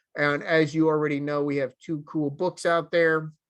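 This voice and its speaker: Speaking with a New Jersey accent, this man has a fairly high pitch. The background is quiet. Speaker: software developer advocate. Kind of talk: conference talk. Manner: casual, filler-heavy.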